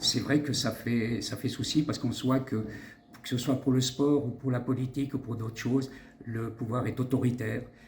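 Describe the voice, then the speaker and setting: Medium in pitch, a man's voice stays monotone and flat. His pace is moderate. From Switzerland. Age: 60s. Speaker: doctor and politician. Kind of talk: interview. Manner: halting.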